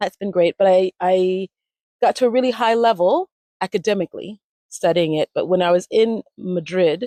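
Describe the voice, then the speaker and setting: Her tone is dark and mellow, with ordinary pitch variation. The speaker is a woman with an American accent. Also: dry, close sound with no echo. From US Midwest (Ohio), early childhood in Miami. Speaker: language retreat founder, communication strategist. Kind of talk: interview, personal story. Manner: casual, with many fillers.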